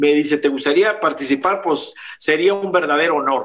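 The man's pitch varies in an ordinary way. He talks at a fairly slow pace. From Monterrey, Mexico. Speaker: rock musician. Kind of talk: casual chat.

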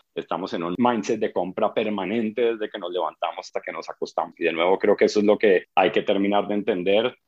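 Hardly pausing at all, a man rattles off his words at a very fast pace. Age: 40s. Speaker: advertising agency CEO. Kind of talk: interview. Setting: video call.

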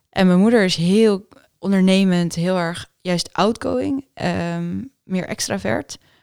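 A woman talks very slowly at a medium pitch with ordinary pitch variation, and the sound is dry and close with no echo. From Netherlands. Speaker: doctor and entrepreneur. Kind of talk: interview.

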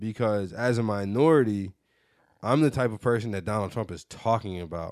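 A man's fairly low voice at a moderate pace, ordinary pitch variation, and a quiet background. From Michigan, Detroit suburbs. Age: 20s. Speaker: podcast host. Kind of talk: casual chat.

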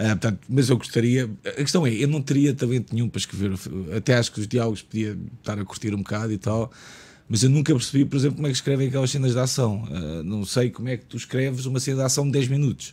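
The voice has a dark, mellow tone, is somewhat breathy, and moves at a very fast pace with ordinary pitch variation. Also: man, medium pitch for a man. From Lisbon, Portugal (Portela). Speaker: screenwriter. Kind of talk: casual chat.

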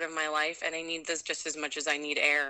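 A fairly low-pitched woman's voice with an American accent. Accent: Minnesotan, noticeable when drinking. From Minnesota, US Midwest. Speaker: ultra runner and mountain athlete. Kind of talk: casual interview chat. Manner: positive, energetic.

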